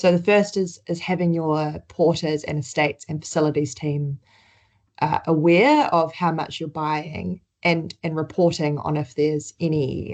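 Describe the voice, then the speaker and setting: Over a quiet background, a woman with a New Zealand accent speaks at a fairly slow pace and a very deep, low pitch, her intonation fairly even. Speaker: healthcare sustainability presenter. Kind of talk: webinar presentation.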